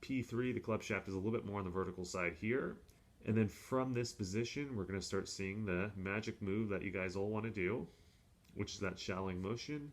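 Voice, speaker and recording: At a fairly quick pace, this is an ordinary speaking voice with ordinary pitch variation. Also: man, fairly low pitch for a man. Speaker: golf coach. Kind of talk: tutorial. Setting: hotel room.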